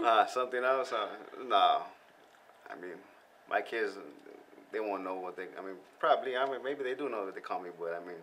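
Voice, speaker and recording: A man speaks at a very fast pace. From US West Coast (San Gabriel Valley, Southern California). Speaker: rapper. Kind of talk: casual interview chat. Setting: studio.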